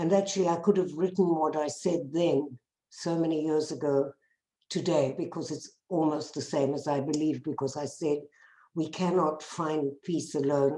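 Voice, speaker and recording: In a South African accent, a woman speaks at a moderate pace with a very deep, low pitch. Her tone is dark and mellow, her intonation fairly even. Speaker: bereaved parent activist. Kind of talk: testimony.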